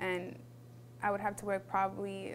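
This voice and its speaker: Here a woman speaks at a fairly slow pace. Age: 20s. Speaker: college student. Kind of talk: interview testimony. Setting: filmed interview. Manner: hesitant, many fillers.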